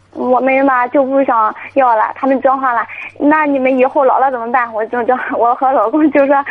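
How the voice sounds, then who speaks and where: A high-pitched woman talks at a fairly quick pace with fairly even intonation over noticeable background noise. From rural China. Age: 20s. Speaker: caller, young mother. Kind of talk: call-in radio advice. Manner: halting.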